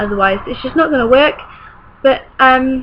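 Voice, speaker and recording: Noticeable background noise sits behind a woman speaking in a British accent. She keeps a moderate pace with ordinary pitch variation. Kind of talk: casual talk to camera.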